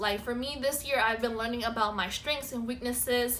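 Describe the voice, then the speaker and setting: Audible room echo surrounds a woman with an American accent speaking at a fairly high pitch with fairly even intonation. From South Florida. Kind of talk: casual chat.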